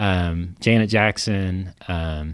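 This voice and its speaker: A man with a Kentucky accent, very deep and low in pitch, ordinary pitch variation, on a very clean recording with a silent background. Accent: Kentucky country. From central Kentucky. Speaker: legal marketing consultant. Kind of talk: casual chat. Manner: hesitant, many fillers.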